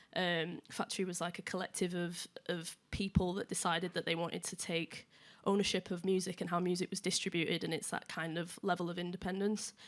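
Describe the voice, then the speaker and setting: The voice comes in a Yorkshire accent, with monotone, flat intonation at a fairly quick pace. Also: woman, fairly low pitch for a woman, very clean recording, silent background. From northern England, Leeds. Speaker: music journalist. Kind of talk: panel discussion.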